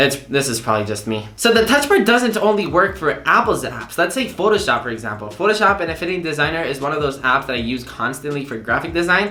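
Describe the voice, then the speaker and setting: A man with a non-native accent rushes along at a very fast pace with hardly any pauses, his fairly high, animated voice making very wide pitch swings amid noticeable background noise and audible room echo. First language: not English. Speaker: tech YouTuber. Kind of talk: tutorial.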